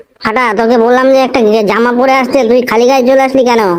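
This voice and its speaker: Doing a cartoonish character voice, a man talks fairly quickly at an extremely high pitch with monotone, flat intonation. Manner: coarse, swearing.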